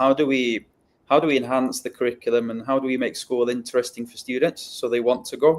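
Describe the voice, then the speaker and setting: Here a man speaks with a Welsh accent at medium pitch. His pace is fairly quick. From North Wales. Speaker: educator. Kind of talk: interview. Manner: halting, many fillers.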